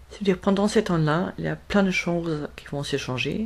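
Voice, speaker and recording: A woman speaks with a German accent. Her pitch varies in an ordinary way. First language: German (speaking French). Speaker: spiritual medium. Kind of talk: spiritual talk to camera. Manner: halting, many hesitations.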